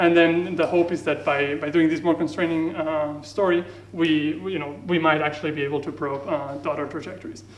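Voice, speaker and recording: High-pitched male speech in audible room echo, with ordinary pitch variation. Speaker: physicist. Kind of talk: lecture. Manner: fast.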